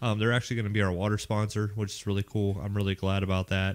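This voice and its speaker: A man with a slight Raleigh accent at a very fast pace, on a very clean recording with a silent background. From Pittsburgh, Pennsylvania. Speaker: Marine veteran, hike organizer. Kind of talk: casual chat.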